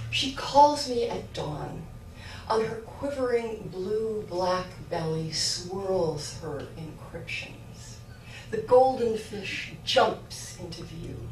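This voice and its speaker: A woman at a very slow pace, with very wide pitch swings, big swings in loudness, audible room echo and light background noise. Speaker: poet. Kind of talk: poetry reading. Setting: live reading with audience. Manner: conversational intro, then measured reading; self-deprecating, laughing. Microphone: camera far.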